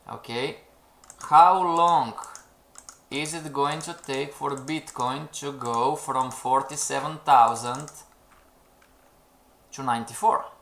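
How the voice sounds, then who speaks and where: In a non-native accent, the speech goes at a very slow pace with long, frequent pauses. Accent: non-native English, self-noted pronunciation. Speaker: trading educator, webinar host. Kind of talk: live webinar talk to viewers. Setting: live stream.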